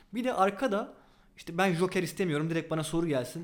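A man speaks at a very fast pace. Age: 20s. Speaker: board game designer and research assistant. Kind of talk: interview. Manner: hesitant fillers.

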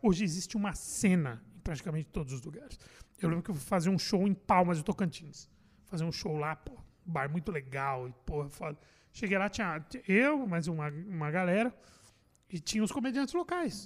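A man with a high pitch, lively intonation and a fairly quick pace. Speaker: comedian and radio host. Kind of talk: casual chat.

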